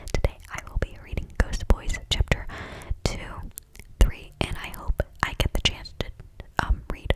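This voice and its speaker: The voice is whispering at a fairly slow pace, with long, frequent pauses. Noticeable background noise runs underneath. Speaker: ASMR creator. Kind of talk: casual ASMR intro talk. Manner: whispered.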